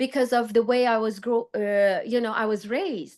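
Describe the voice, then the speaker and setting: A woman speaks in a Persian accent at a moderate pace. The background is quiet. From Iran. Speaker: fashion designer and psychology student. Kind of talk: podcast interview. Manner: halting.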